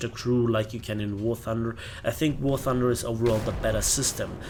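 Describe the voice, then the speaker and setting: A man speaks with a German accent. Noticeable background noise runs underneath. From Bavaria, Germany. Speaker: gaming youtuber. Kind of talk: casual chat. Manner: hesitant, many fillers.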